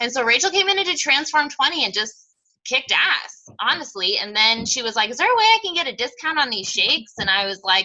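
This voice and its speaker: A woman projects a raised voice at a high pitch. Her pitch swings very widely. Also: fairly quick pace. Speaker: fitness coaching team leader. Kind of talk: team call. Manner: fast; animated.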